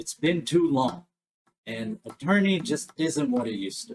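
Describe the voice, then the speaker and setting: Gravelly and delivered at a moderate pace, this put-on character voice has very wide pitch swings. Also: man, fairly high pitch for a man. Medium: actual play. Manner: blunt, folksy.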